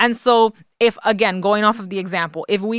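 Fairly high-pitched, a woman talks at a fairly quick pace with a New York accent. The sound is dry and close, with no echo. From the Bronx, New York. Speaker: personal finance coach. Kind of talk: interview.

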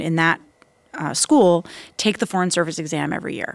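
A woman with an American accent speaks in an ordinary speaking voice, fairly low in pitch with ordinary pitch variation. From US South, Florida. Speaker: diplomat. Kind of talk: interview.

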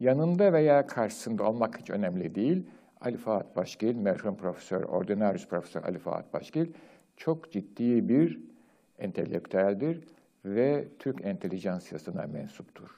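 Talking at a fairly slow pace, a man with a medium pitch lets his voice swing very widely up and down. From Turkey. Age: old. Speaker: retired professor, program host. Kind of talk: lecture. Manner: formal.

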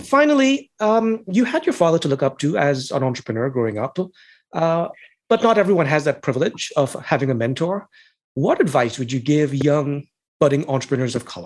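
Captured on a very clean recording with a silent background, a man with a plain, everyday voice speaks fairly quickly at a fairly high pitch with lively intonation. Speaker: podcast host. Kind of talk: interview, podcast host.

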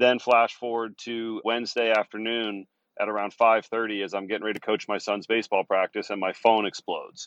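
The speaker talks at a fairly quick pace with monotone, flat intonation. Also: man, medium pitch for a man. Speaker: cannabis industry analyst. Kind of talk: interview.

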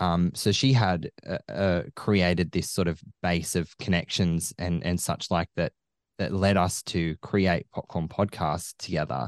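With an Australian accent, the speaker goes at a fairly slow pace with ordinary pitch variation, recorded dry and close with no echo against a quiet background. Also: man, very deep, low pitch for a man. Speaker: film podcaster. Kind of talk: casual chat. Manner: animated.

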